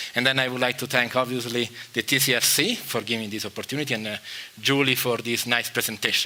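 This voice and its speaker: Over noticeable background noise, a man talks very fast at a medium pitch in a monotone, flat intonation. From Italy, Rome. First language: Italian. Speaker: chemistry professor. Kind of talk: lecture. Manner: halting, many fillers.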